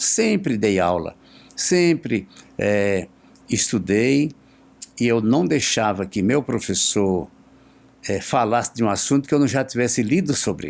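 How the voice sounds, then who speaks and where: A man's medium-pitched voice at a fairly slow pace, lively in intonation and broken by long, frequent pauses. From Brazil, Pernambuco. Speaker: teacher. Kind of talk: podcast interview. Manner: halting.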